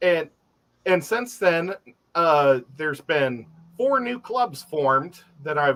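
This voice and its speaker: A man with an American accent at a very slow pace, bright and sharp in tone, with lively intonation and long, frequent pauses. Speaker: aquarium hobbyist. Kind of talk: casual chat.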